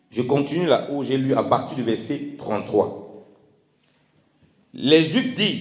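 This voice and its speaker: Speaking very slowly with long, frequent pauses, a man with a fairly high pitch and ordinary pitch variation is heard in audible room echo. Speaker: preacher. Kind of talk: sermon. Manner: halting.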